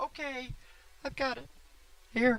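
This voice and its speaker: A woman puts on a character voice pitched high. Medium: comedy sketch.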